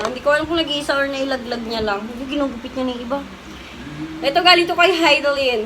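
Over noticeable background noise and audible room echo, a woman speaks very fast in a raised, projected voice, high-pitched, with ordinary pitch variation and big swings in loudness. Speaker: vlogger. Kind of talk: casual chat; vlog outro. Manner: laughing often.

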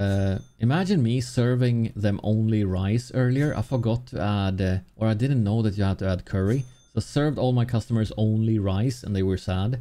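Speaking at a moderate pace with hardly any pauses, a man with a dark, mellow tone keeps a medium pitch, ordinary pitch variation and very even loudness. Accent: Swedish. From Sweden. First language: Swedish. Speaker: gaming streamer. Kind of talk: live gameplay commentary. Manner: animated. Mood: playful, lightly frantic. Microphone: studio mic.

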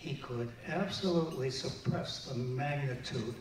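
Audible room echo and light background noise around a man speaking. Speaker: presenter accepting honor for friend. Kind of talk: tribute speech. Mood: warm, reminiscing. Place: hall.

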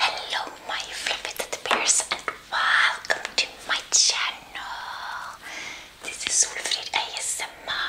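A woman whispering at a very slow pace. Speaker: ASMR eating channel host. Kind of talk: casual vlog chat. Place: home room. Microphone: lapel.

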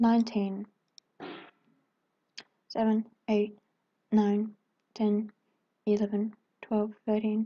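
A woman speaks very slowly with long, frequent pauses. Her voice is fairly high, somewhat breathy, and monotone with flat intonation. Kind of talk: casual talk to viewers. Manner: dull, flat.

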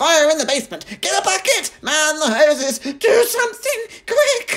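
A man shouts in a put-on character voice, pitched extremely high. His pace is moderate. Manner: yelling in panic.

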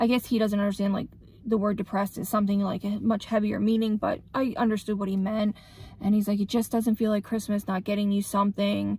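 Speaking at a very fast pace in a monotone, flat intonation, a woman has a dark, mellow, somewhat breathy tone in a dry sound without echo. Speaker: vlogger. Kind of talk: casual vlog chat. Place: car. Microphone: phone near.

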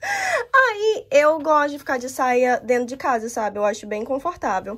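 A woman's high-pitched voice. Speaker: home vlogger. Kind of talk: casual vlog chat. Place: home room. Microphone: phone near.

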